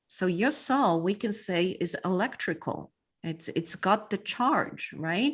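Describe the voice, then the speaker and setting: Over a quiet background, a woman speaks at a very slow pace and a medium pitch with lively intonation. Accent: Polish. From Poland. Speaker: mindset coach and speaker. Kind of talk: podcast interview.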